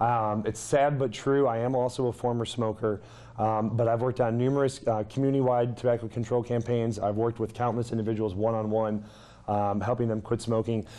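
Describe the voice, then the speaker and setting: A man speaks fairly quickly at a medium pitch, his tone dark and mellow, his intonation monotone and flat, and his loudness very even. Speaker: clinical health psychologist. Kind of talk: lecture. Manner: fast.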